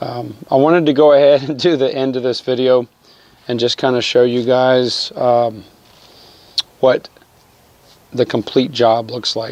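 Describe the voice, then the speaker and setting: Against noticeable background noise, a man speaks at a fairly slow pace with fairly even intonation and long, frequent pauses. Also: medium pitch for a man. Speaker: DIY auto repair video maker. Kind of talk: tutorial. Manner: casual, many fillers.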